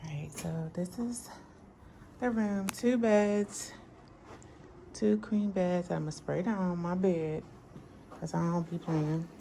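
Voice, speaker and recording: A woman with a fairly low pitch and a dark, mellow, somewhat breathy tone speaks at a fairly slow pace with ordinary pitch variation. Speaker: planner and journaling vlogger. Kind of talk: casual travel vlog voiceover.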